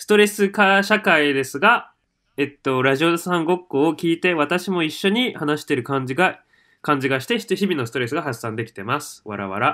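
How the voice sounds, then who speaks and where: Very wide pitch swings mark a man's fairly high, bright, sharp voice at a moderate pace. The recording is very clean with a silent background. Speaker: podcast co-host. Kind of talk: casual chat.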